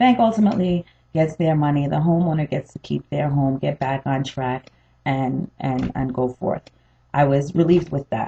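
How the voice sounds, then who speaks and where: Ordinary variation marks the pitch. There is a somewhat breathy quality to the voice. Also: woman, very deep, low pitch for a woman, moderate pace. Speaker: homeowner vlogger. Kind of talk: personal testimony. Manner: hesitant, many fillers.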